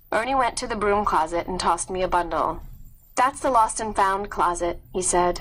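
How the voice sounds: In a natural reading voice, the pitch rises and falls in an ordinary way.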